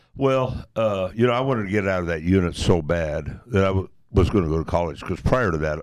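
A man speaks with a Midwestern American accent. His pace is moderate. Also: very clean recording, silent background. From US Midwest, Nebraska. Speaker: retired truck driver and army veteran. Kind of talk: interview. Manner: storytelling, folksy.

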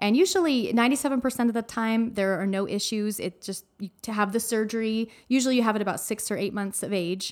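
A woman with an American accent speaks in an unremarkable speaking voice, her fairly high pitch moving with ordinary variation at a moderate pace, with hardly any pauses, on a very clean recording with a silent background. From Arizona. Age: 40s. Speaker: mother of a child with Down syndrome. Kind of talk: interview, personal story. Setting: studio.

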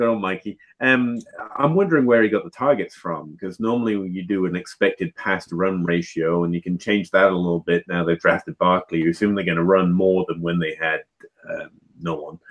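Quite quick in pace, a man speaks with a very deep, low pitch. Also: ordinary pitch variation. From England. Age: 30s. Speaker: fantasy football writer. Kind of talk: live panel discussion.

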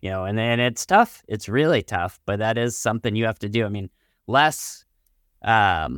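A man talks at a moderate pace with fairly even intonation in an ordinary speaking voice. The sound is dry and close with no echo, on a very clean recording with a silent background. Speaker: financial advisor and radio co-host. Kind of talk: radio talk show conversation.

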